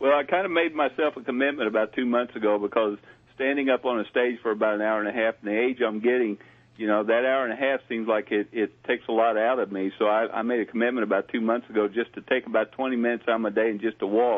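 Talking at a very fast pace, a man with a Southern US accent keeps his intonation fairly even. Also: medium pitch for a man. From US South. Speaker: paranormal communications consultant. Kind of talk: call-in readings.

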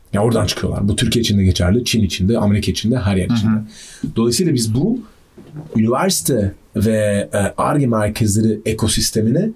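Over noticeable background noise, a man talks at a fairly quick pace and a medium pitch with ordinary pitch variation. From Austria (Vienna). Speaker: deep tech entrepreneur, energy economist. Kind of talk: casual interview.

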